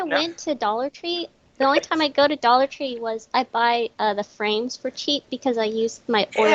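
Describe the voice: A woman with an American accent, high pitch and ordinary pitch variation, at a moderate pace, in a dry, close sound with no echo.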